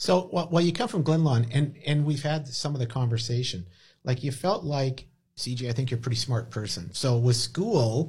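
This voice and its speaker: This man has a medium pitch and a somewhat breathy voice with an animated tone. His pace is moderate and his pitch variation ordinary. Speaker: podcast host. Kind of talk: casual podcast chat, host-led. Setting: studio. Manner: animated, jokey.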